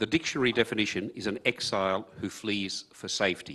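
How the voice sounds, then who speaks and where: In an Australian accent, a man with a fairly low pitch and a bright, sharp tone talks at a fairly quick pace. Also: quiet background. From Hungary. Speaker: refugee speaker. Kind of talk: personal testimony. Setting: conference stage with audience.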